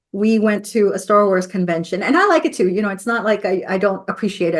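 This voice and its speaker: Ordinary pitch variation from a woman, the background quiet. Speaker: podcast host. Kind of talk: casual interview chat. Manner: animated, laughs a lot.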